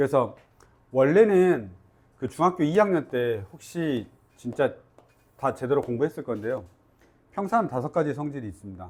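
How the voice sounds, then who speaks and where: A man's fairly high voice at a moderate pace, with long, frequent pauses and very wide pitch swings. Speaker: math teacher. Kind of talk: lecture. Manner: casual, informal.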